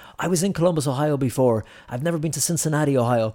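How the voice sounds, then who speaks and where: This man's voice has a dark, mellow tone and a fairly high pitch, with ordinary pitch variation at a very fast pace. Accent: Irish. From Ireland, Ennis, County Clare. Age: 30s. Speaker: journalist. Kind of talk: casual interview chat. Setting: studio.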